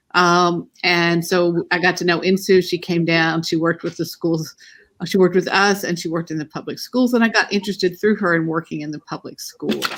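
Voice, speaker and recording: On a very clean recording with a silent background, a woman with a Texas accent talks at a fairly quick pace, her fairly low pitch following fairly even intonation. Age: old. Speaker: family therapist and university teacher. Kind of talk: casual interview chat.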